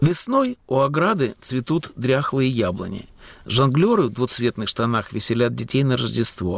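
With an ordinary speaking voice at medium pitch, a man talks at a fairly slow pace with lively intonation and very even loudness. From Latvia, Riga. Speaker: radio host and writer. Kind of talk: scripted narration.

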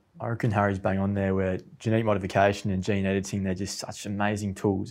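With an Australian accent, a man speaks very fast in a fairly low, monotone, flat voice on a very clean recording with a silent background. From Australia, near Canberra. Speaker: soil scientist. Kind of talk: casual chat.

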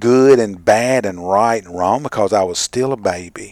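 On a very clean recording with a silent background, a man with a normal speaking voice talks at a medium pitch with ordinary pitch variation. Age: 40s. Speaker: radio Bible study co-host. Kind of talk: casual Bible study discussion.

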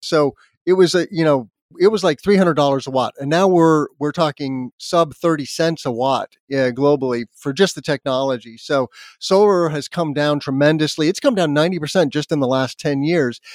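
A man with an American accent uses a normal speaking voice at a fairly high pitch, with ordinary pitch variation and a moderate pace. The recording is very clean with a silent background, and the sound is dry and close with no echo. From US Southwest, Albuquerque, New Mexico. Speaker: solar energy expert and podcast host. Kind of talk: interview.

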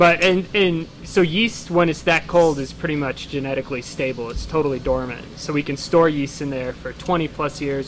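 Music plays behind a man who speaks at a moderate pace and a fairly high pitch, with ordinary pitch variation and hardly any pauses. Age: 20s. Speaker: yeast lab owner. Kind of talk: casual chat.

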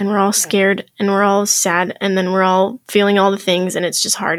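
A woman delivers her words at a moderate pace with hardly any pauses, in a medium pitch with monotone, flat intonation. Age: 20s. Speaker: podcast guest sharing life lessons. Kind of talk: casual chat. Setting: studio.

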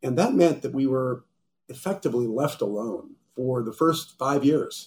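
At a moderate pace, a man with an American accent speaks in a normal speaking voice at a medium pitch. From Golden, Colorado. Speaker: wealth management executive. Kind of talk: interview.

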